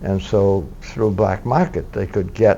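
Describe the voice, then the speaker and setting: A man's fairly low-pitched voice at a very slow pace. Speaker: war veteran. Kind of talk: interview answer. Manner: hesitant, conversational.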